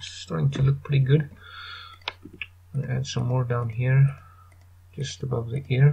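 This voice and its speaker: A man mumbling at a medium pitch with a non-native accent, with long, frequent pauses. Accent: non-American accent, called weird by himself. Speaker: 3D artist, tutorial maker. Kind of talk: screen-recorded software tutorial. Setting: low-quality home microphone. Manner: mumbling, casual, hesitant.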